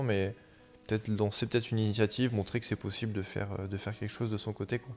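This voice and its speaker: Music plays behind a man speaking very fast. His pitch is fairly low and his intonation monotone and flat. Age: 20s. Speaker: surfer and photographer. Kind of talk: interview. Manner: hesitant, many fillers.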